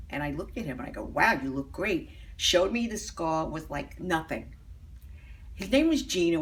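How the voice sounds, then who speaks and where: A woman speaks at a moderate pace, and the room echo is audible. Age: 70s. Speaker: patient. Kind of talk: testimony.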